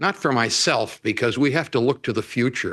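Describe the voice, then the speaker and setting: Against a quiet background, a man talks at a moderate pace with a medium pitch and a bright, sharp tone. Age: 80s+. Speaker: public commenter, retired academic. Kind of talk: public comment at city council. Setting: city council chambers.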